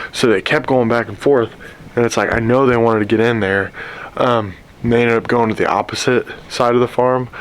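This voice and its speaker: A man's medium-pitched, monotone, flat delivery at a fairly quick pace over noticeable background noise. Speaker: bowhunter vlogger. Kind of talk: outdoor hunting vlog. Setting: outdoors in a tree stand. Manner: casual, conversational.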